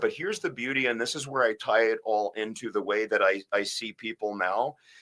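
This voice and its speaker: A man speaks at a fairly quick pace with a New York accent. The recording is very clean, with a silent background. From US, Bronx, New York. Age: 50s. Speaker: spine surgeon. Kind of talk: casual interview. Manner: halting.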